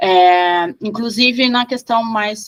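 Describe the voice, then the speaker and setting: This is a woman's voice. Her pitch is fairly high, with ordinary pitch variation. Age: 40s. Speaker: priestess of an esoteric order. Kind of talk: interview. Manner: halting, many fillers.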